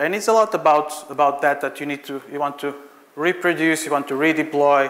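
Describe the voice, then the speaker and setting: With a Portuguese accent, a man speaks at a fairly high pitch and a moderate pace. His intonation is fairly even, with noticeable background noise. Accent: Portuguese, non-British. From Portugal. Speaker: software architect, conference speaker. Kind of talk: conference talk. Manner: hesitant, many fillers.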